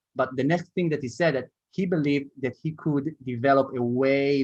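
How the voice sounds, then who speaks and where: A man speaks with an Israeli accent. His pitch is medium and his pace moderate. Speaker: startup co-founder and marketing executive. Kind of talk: interview.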